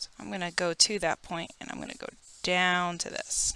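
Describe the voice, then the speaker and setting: Speaking at a moderate pace, a woman with a fairly low pitch has a bright, sharp tone. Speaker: art teacher. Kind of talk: drawing tutorial. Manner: quieter while focusing on detail.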